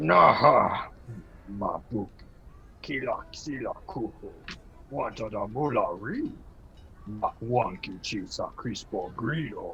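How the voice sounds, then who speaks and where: Using a put-on character voice, a man speaks at a fairly slow pace with long, frequent pauses over clear background noise. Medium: stage play. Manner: speaks only alien gibberish.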